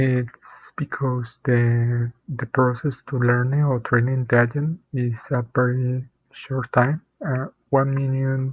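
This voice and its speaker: In a non-native accent, a man speaks at a very slow pace in a somewhat breathy medium pitch with monotone, flat intonation. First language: not English. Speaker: programmer. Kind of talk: tutorial. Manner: halting, many fillers and repeats.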